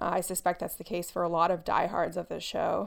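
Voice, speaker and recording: An ordinary speaking voice at a fairly quick pace, in a very clean recording with a silent background. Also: woman. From United States. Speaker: podcast co-host. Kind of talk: casual podcast discussion of a TV show.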